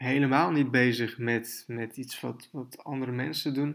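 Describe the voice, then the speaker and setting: This man talks at a fairly slow pace in a monotone, flat way. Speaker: podcast host, online business coach. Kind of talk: solo podcast monologue. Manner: hesitant, many filler sounds.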